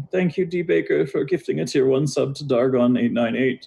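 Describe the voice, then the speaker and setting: A man mumbles in a put-on character voice at a fairly high pitch. His pace is moderate. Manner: sleepy mumbling.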